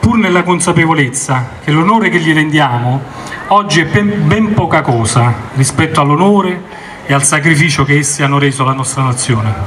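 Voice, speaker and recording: At a moderate pace, a man with a fairly high voice speaks with ordinary pitch variation over light background noise. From Italy. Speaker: naval officer, commander of the local maritime office. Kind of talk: formal commemorative speech. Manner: formal. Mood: solemn, commemorative. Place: street. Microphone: podium.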